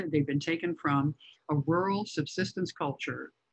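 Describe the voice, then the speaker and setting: A woman with an American accent speaks at a moderate pace in a very deep, low pitch against a quiet background. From US Midwest, northern Illinois. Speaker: author and photographer; presenter. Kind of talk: illustrated lecture. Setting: video call. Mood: reflective, warm. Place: home room. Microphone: video call.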